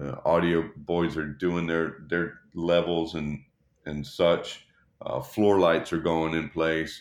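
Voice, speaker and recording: Very slowly, a man talks in a very deep, low voice with monotone, flat intonation. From Texas, Dallas. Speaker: touring production rigger. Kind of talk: casual interview.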